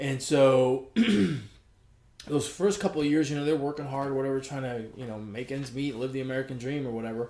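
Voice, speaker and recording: At a fairly quick pace, a man speaks in a medium-pitched voice with a dark, mellow tone and fairly even intonation. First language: Spanish. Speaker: sports podcast co-host. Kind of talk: casual chat.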